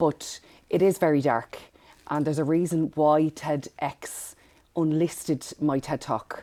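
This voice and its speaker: Fairly slow and fairly even in intonation, a dark, mellow voice with a Dublin accent sounds out in a very clean recording with a silent background. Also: woman, very deep, low pitch for a woman. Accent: Dublin Irish. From Ireland, Dublin northside. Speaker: empowerment coach. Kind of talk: podcast interview.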